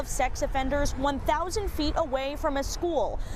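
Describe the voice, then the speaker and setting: The speech moves at a moderate pace with lively intonation over noticeable background noise. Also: woman. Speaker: TV news reporter. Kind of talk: TV news report.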